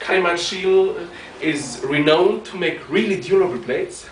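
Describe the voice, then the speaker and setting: At a fairly slow pace, a man with a non-native accent speaks with fairly even intonation amid noticeable background noise and audible room echo. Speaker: martial arts practitioner reviewing gear. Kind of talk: product review. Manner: hesitant, with frequent ums.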